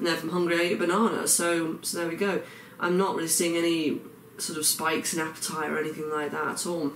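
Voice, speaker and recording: Amid noticeable background noise and audible room echo, a man with an English accent talks at a very fast pace in a high pitch, with fairly even intonation. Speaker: vlogger. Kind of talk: video diary. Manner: hesitant, many fillers.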